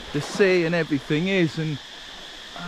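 The recording of this man is dry with no echo but carries noticeable background noise. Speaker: travel vlogger. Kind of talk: casual vlog chat. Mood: relaxed, cheerful. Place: beach. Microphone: phone near.

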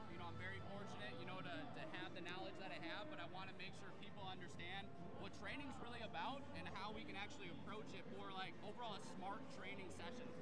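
A man with an American accent talks at a very fast pace. The sound is dry with no echo, and there is loud background noise. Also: hardly any pauses. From US Midwest, Michigan. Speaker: fitness coach with a doctorate. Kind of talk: interview. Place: hall. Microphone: handheld.

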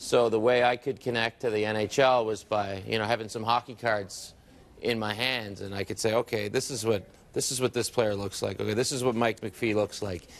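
At a moderate pace, a man talks in a monotone, flat intonation. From Nova Scotia, Canada. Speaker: sports broadcaster and hockey card collector. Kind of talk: casual interview. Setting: TV studio. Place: studio. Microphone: lapel.

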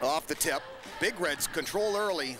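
A man is speaking. The sound is dry with no echo, but there is noticeable background noise. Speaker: play-by-play announcer. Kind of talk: sports commentary. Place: booth.

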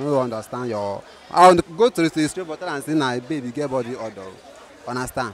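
Crowd noise fills the background. The sound itself is dry, with no echo. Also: man. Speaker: interviewee. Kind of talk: interview answer. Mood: relaxed, smiling. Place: market. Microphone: handheld.

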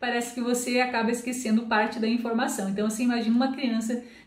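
Her intonation is fairly even and her pitch high, in a Brazilian accent. The woman's voice carries audible room echo. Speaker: Portuguese teacher and book reviewer; Portuguese teacher, book reviewer. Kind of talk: book review monologue. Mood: warm, lightly humorous. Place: home room.

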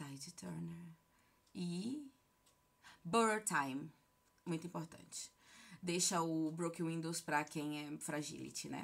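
Speaking very slowly, a woman pauses long and often. Her pitch is fairly low, with ordinary variation. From Brazil, Bahia (Feira de Santana); Bahia, Brazil. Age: 30s. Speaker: gaming YouTuber. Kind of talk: casual Q&A vlog. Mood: relaxed, friendly. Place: home room. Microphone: phone near.

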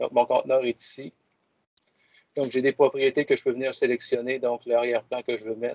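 A man in a monotone, flat intonation at a fairly quick pace, with long, frequent pauses, a quiet background and a dry sound with no echo. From Quebec. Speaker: educational technology advisor; presenter. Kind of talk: software demonstration. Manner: halting, repeats words. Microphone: video call.

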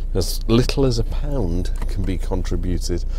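Light background noise sits behind a man's dry voice with no echo. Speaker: driving vlogger. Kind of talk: casual vlog chat. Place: car. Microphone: lapel.

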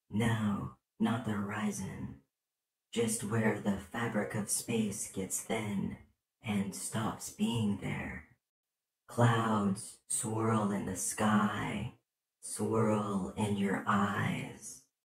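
A man uses a cartoonish character voice, raspy and fairly low-pitched, at a very slow pace. There is a slight echo. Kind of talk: poetry reading. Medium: puppet. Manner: tender, dreamy.

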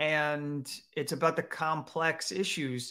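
A man's bright, sharp voice at a very slow pace, set against a quiet background. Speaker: show host. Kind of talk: commentary. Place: home room. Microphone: webcam.

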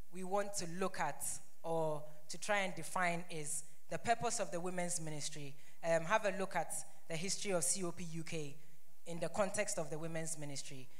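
A woman speaks in a plain, everyday voice at a moderate pace. Her pitch is fairly low and her intonation fairly even. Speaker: presenter. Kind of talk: presentation. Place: church. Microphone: handheld.

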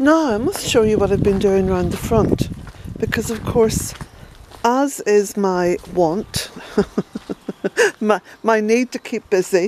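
The speech comes very slowly, with an Irish accent and long, frequent pauses. Pitch variation is ordinary, over light background noise. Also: woman, fairly high pitch for a woman, dry sound with no echo. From Ireland. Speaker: smallholder vlogger. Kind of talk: casual walk-and-talk vlog. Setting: outdoors. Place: garden. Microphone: phone near.

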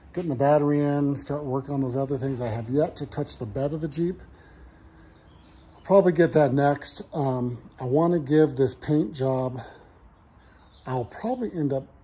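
A man speaks at a moderate pace with long, frequent pauses, his dark, mellow voice somewhat breathy and showing ordinary pitch variation. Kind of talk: casual vlog chat. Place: garage. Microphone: phone near.

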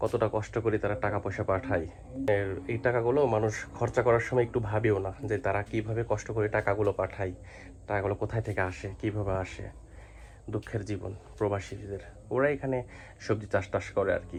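A man talks at a fairly low pitch with vocal fry. His intonation stays fairly even. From Bangladesh. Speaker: vlogger. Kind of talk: walking vlog narration. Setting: outdoors. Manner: casual.

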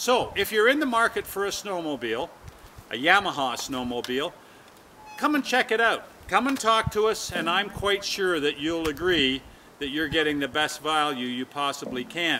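Against light background noise, a man with a high pitch and very wide pitch swings speaks at a moderate pace. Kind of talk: promotional talk to camera. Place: open country. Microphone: camera far.

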